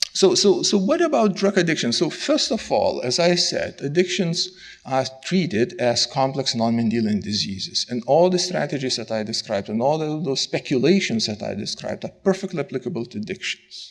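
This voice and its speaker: Talking fairly quickly, a man with a fairly high pitch and vocal fry lets his pitch swing very widely. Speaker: scientist giving a conference talk. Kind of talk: lecture. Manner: fast.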